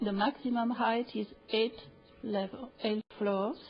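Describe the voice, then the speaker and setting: With music in the background, a woman in a French accent speaks at a fairly high pitch with fairly even intonation. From France (Paris). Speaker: public hearing speaker. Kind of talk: public testimony. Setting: city council chamber. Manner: hesitant, many fillers.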